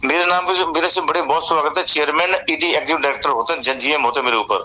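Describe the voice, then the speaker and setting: Through noticeable background noise comes a man's high-pitched voice with ordinary pitch variation. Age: 60s. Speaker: retired bank manager. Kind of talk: casual chat. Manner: halting.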